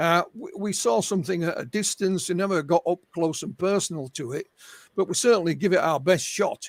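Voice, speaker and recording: This man speaks with a Yorkshire accent in a high voice. His fairly quick delivery sounds dry and close, with no echo. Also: ordinary pitch variation. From Yorkshire, northern England. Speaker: UFO researcher and author. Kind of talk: interview. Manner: halting, repeats words.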